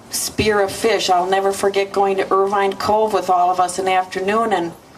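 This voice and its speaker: Amid noticeable background noise, a woman with an American accent speaks at a medium pitch and a moderate pace. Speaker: mother of the deceased. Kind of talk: memorial eulogy. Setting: memorial service. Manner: halting.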